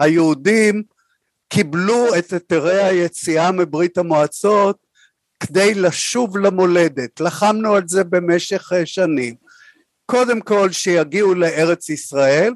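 In a dry, close sound with no echo, a man talks very slowly at a high pitch with ordinary pitch variation. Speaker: former education official and lecturer. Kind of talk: interview.

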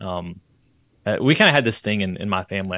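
A man talks fairly quickly in an unremarkable speaking voice with ordinary pitch variation, the sound dry and close with no echo. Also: very clean recording, silent background. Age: 30s. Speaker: podcast guest, homeschool graduate. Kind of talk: casual interview conversation.

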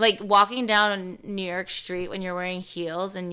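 In an American accent, a woman speaks with a bright, sharp tone, medium pitch and fairly even intonation. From US East Coast. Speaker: TV host. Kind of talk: casual chat. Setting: studio. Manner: fast talker; loud.

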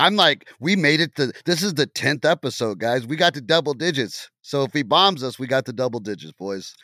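A man with an American accent talks at a fairly quick pace in a bright, sharp tone with lively intonation. The sound is dry and close with no echo, on a very clean recording with a silent background. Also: fairly high pitch for a man. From Oklahoma. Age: 40s. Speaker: sports podcast co-host. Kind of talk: casual chat.

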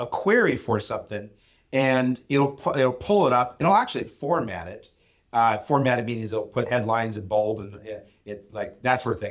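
This man has an unremarkable speaking voice at medium pitch. He talks at a moderate pace with big swings in loudness. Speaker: podcast co-host, business co-founder. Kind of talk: casual conversational discussion. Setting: recorded on location at an event.

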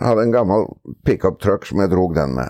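His voice carries vocal fry. The man's pitch jumps across a very wide range. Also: dry, close sound with no echo. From Norway, Oslo. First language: Norwegian (speaking Swedish). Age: 70s. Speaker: harness racing trainer. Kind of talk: casual interview. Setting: outdoors on a veranda.

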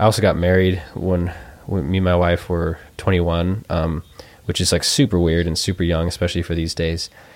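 Monotone, flat intonation carries the speech along at a fairly quick pace. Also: man, very deep, low pitch for a man. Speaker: trumpet player. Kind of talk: casual chat. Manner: halting, with many fillers.

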